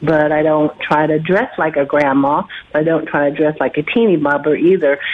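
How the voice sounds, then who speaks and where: The speaker keeps a moderate pace with fairly even intonation and very even loudness. Background noise is noticeable. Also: woman, very deep, low pitch for a woman. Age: 60s. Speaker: caller. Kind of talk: phone-in question. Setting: phone call. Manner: halting, many fillers.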